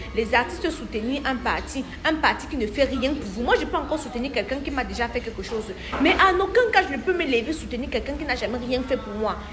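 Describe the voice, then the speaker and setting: In a Cameroonian accent, a woman talks very fast with a high pitch, an animated tone and lively intonation, amid audible room echo and noticeable background noise. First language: Bamenjou (speaking French). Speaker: diaspora commentator. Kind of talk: casual monologue.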